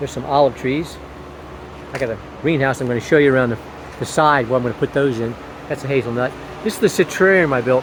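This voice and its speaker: The speech moves at a very fast pace with ordinary pitch variation and long, frequent pauses, over noticeable background noise. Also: man, medium pitch for a man. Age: 60s. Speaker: hobby gardener and RV builder. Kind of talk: casual garden tour vlog. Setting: outdoors in garden. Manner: casual, halting with repetitions.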